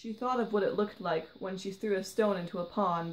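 This natural reading voice rises and falls with ordinary pitch variation.

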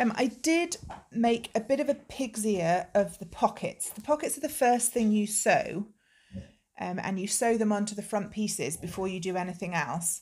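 A woman talks at a moderate pace with a fairly high, somewhat breathy voice. Her intonation is lively. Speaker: knitting video podcaster. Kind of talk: casual vlog chat. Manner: hesitant with frequent ums. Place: home room. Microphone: phone near.

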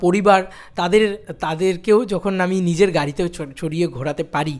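Over a quiet background, a man speaks in a high pitch with ordinary pitch variation. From West Bengal, India. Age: 20s. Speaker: YouTuber, film content creator. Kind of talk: personal vlog monologue. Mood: happy, reflective year recap. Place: home room. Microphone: studio mic.

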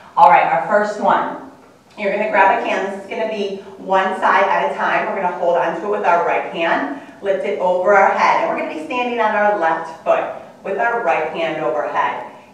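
Strong room echo surrounds a woman speaking at a moderate pace with lively intonation. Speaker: fitness instructor. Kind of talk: tutorial. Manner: instructional, clear, upbeat. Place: gym. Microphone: camera far.

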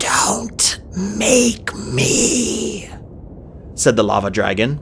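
Quiet, raspy and creaky, a man performs a put-on character voice at a very slow pace. Clear background noise is heard behind him. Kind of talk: read story. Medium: read story. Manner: quiet, eerie.

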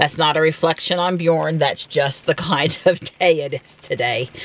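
A moderate pace in a dry sound with no echo. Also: woman. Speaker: vlogger. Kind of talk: casual vlog chat. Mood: relaxed, lightly amused. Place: car.

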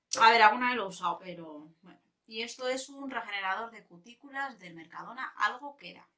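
Loudness rises and falls sharply, with an animated tone. The pace is fairly quick and the pitch varies in an ordinary way. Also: woman, fairly high pitch for a woman. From Spain. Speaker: beauty youtuber. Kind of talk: casual vlog chat.

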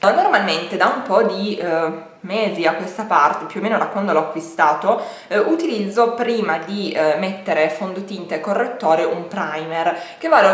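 A woman speaks with ordinary pitch variation. There is audible room echo. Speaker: beauty vlogger. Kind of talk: casual makeup tutorial chat. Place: home room. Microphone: phone near.

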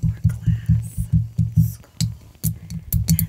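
A woman speaks at a very slow pace. Music plays in the background. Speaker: ASMR-style show-and-tell host. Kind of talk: soft casual show-and-tell. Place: home room. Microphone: studio mic.

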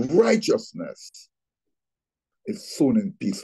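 At a very slow pace over a quiet background, a man with a high pitch and a dark, mellow tone speaks with very wide pitch swings. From Trinidad and Tobago. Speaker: pastor. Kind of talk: Bible teaching. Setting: video call. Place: home room. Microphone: video call.

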